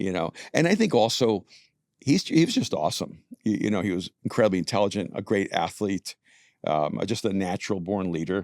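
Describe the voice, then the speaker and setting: Speaking at a fairly quick pace with an American accent, a man uses lively intonation in a fairly low pitch, captured in a very clean recording with a silent background. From El Salvador, raised in the US. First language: Spanish. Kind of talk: casual interview conversation. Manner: hesitant, many fillers.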